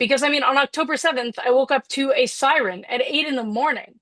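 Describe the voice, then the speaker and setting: A woman with an American accent talks at a moderate pace in a high pitch, her pitch varying in an ordinary way. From United States. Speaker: public hearing witness. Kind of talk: testimony.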